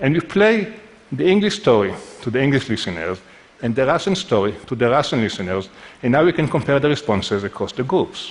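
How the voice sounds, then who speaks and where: A man's medium-pitched voice with a non-native accent, very wide pitch swings and a fairly quick pace. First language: not English. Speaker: neuroscientist. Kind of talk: lecture.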